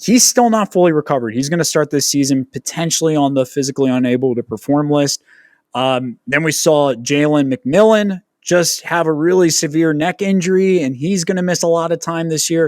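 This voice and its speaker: In an ordinary speaking voice, a man talks at a fairly quick pace and a fairly high pitch with ordinary variation. The recording is very clean, with a silent background and a dry, close sound with no echo. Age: 30s. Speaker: fantasy football podcast host. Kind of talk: casual podcast discussion.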